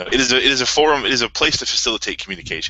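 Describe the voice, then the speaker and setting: A man speaks over noticeable background noise. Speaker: card game organizer. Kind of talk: interview. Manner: stuttering.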